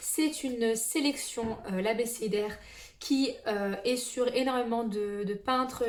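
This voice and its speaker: A woman's fairly high voice with ordinary pitch variation, amid audible room echo and noticeable background noise. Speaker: booktuber. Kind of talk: casual book collection presentation. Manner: hesitant, many fillers.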